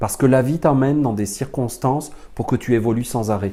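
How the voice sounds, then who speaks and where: The man's voice has a dark, mellow tone. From France. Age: 40s. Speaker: spiritual teacher. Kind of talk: lecture.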